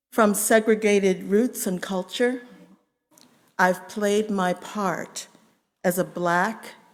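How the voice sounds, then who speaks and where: Speaking very slowly with long, frequent pauses, a woman with an American accent keeps a medium pitch and fairly even intonation. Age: 70s. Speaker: congregant. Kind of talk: testimony. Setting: church. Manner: formal.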